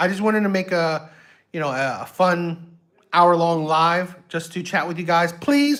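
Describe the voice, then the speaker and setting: At a fairly slow pace, a man with an American accent speaks at a high pitch with ordinary pitch variation. The recording is very clean, with a silent background. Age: 60s. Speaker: YouTube reaction streamer. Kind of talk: casual livestream chat. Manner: halting, many fillers and repetitions.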